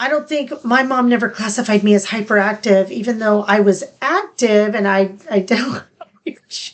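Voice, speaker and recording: Her fairly high pitch and ordinary pitch variation mark this woman's speech. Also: moderate pace. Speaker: podcast co-host. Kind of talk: casual chat. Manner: fragmented.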